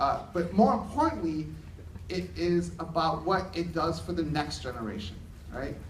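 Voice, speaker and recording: Audible room echo surrounds a man as he speaks. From New York City, Hell's Kitchen. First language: Spanish. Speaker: education technology speaker. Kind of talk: conference keynote.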